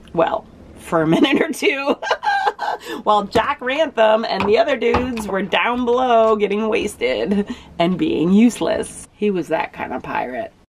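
Noticeable background noise sits beneath a woman talking at a fairly slow pace. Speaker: boat owner vlogger. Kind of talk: casual vlog chat. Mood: earnest, upbeat. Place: boat. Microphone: phone near.

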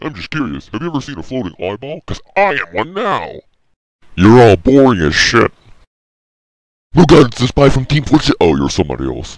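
Using a put-on character voice, a man talks at a medium pitch and a moderate pace. Long pauses come often. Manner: sardonic, bored.

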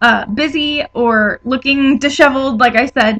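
This woman's voice is high-pitched with a bright, sharp tone. Her pitch varies in an ordinary way. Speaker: vlogger. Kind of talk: casual vlog chat. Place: home room. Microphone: webcam.

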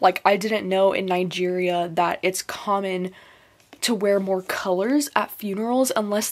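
A woman speaks at a moderate pace and medium pitch. Her intonation stays fairly even.

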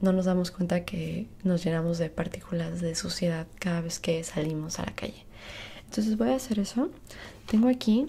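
The speech moves at a moderate pace. Pitch variation is ordinary. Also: woman, fairly low pitch for a woman. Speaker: skincare roleplay host. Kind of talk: casual roleplay tutorial. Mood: friendly, relaxed. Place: home room. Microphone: earbuds.

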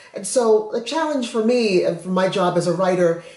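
A woman with an American accent speaks amid audible room echo. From Massachusetts. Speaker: children's book author. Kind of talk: casual chat. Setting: at home, kitchen counter. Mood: warm, friendly. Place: kitchen. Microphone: camera far.

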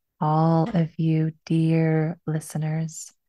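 A woman speaks with a fairly low pitch and a dark, mellow tone. The sound is dry with no echo, over a quiet background. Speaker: podcast host. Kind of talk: podcast intro monologue. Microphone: studio mic.

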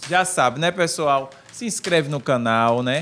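With lively intonation and a fairly high pitch, a man speaks over light background noise. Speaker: podcast co-host; podcast host. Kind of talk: casual chat. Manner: fast. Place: studio. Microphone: studio mic.

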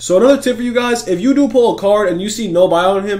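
A man's high voice for a man, with an animated tone and ordinary pitch variation. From Greek heritage. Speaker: gaming YouTuber. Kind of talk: gaming tutorial. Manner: casual, animated.

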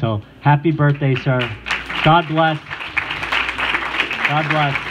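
A man speaking at a very slow pace over loud background noise. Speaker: mayor. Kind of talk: ceremonial citation reading. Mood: warm, celebratory. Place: hall. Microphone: handheld.

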